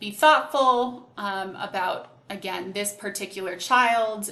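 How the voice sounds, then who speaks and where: A woman speaks at a fairly high pitch. Audible echo from the room surrounds her voice. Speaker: program coordinator. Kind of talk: tutorial.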